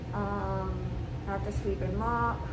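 Loud background noise fills the clip. Through it comes a woman's voice. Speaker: cleaning vlogger. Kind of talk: casual vlog chat. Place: home room. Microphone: camera far.

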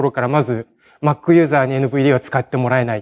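The man's fairly quick speech is heard over a quiet background. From Hiroshima, Japan; Japan. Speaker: conference speaker, programmer; conference speaker. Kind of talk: technical conference talk; conference talk. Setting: stage with audience. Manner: hesitant, many fillers. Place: hall. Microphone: podium.

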